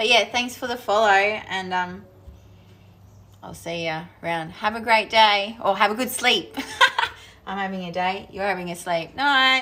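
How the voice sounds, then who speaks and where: A woman speaks at medium pitch with a strong Australian accent and ordinary pitch variation. Her pace is fairly slow, with long, frequent pauses, over noticeable background noise. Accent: strong Australian twang. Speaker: crafting streamer. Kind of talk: casual live-stream chat while crafting. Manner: animated.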